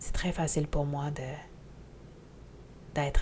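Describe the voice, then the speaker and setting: The woman's pitch is very deep and low, and her intonation is monotone and flat. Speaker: spiritual teacher podcaster. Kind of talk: podcast monologue. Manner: loud.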